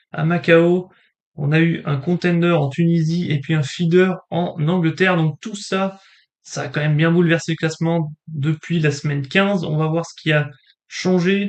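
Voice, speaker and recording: A man's high-pitched voice, fairly even in intonation, at a fairly slow pace. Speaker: table tennis YouTuber. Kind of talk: casual commentary on rankings. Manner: hesitant, many fillers.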